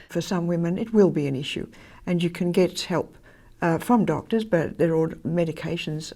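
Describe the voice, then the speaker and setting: A woman with an Australian accent speaks at a moderate pace in a fairly low pitch. Her tone is dark and mellow, her intonation fairly even. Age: 80s. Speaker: former church minister. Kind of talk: interview answer.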